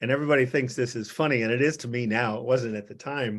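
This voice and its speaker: Very fast speech in an American accent against a quiet background. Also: man. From US Midwest. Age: 80s+. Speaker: psychiatrist. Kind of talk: interview. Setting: video call. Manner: halting.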